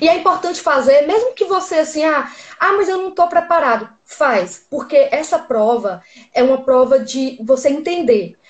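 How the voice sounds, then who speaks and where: With lively intonation, a woman keeps to a moderate pace. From Northeast Brazil, Teresina, Piauí. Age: 30s. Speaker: graduate student abroad. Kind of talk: interview.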